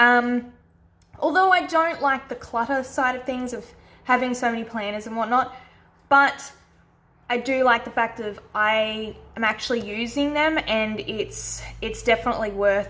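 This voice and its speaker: A woman with an Australian accent speaks in a bright, sharp tone at a fairly high pitch, with ordinary pitch variation. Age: 20s. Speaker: planner YouTuber. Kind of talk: casual talk to camera.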